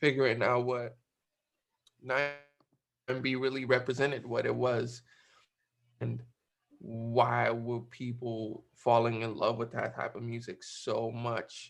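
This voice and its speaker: Music plays in the background as a man talks at a very slow pace with long, frequent pauses. His medium pitch holds a monotone, flat intonation. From West Africa. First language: not English. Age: 19. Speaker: music producer. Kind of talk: online class talk. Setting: video call. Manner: halting, many fillers.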